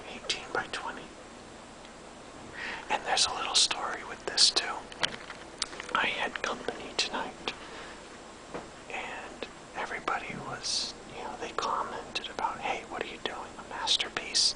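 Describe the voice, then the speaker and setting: Someone whispers with long, frequent pauses. Noticeable background noise is present. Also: moderate pace. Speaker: amateur artist. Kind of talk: casual talk to camera. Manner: whispered.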